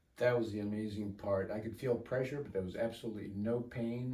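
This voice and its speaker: Heard with audible room echo, a man with a dark, mellow tone and fairly low pitch speaks with fairly even intonation. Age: 70s. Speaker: patient. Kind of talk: testimony. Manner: halting.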